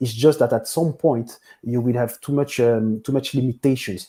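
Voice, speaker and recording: Speaking in a French accent, a man has a medium pitch and a dark, mellow tone. He keeps a moderate pace. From Belgium, Brussels. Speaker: business software consultant. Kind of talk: interview. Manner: halting, many fillers.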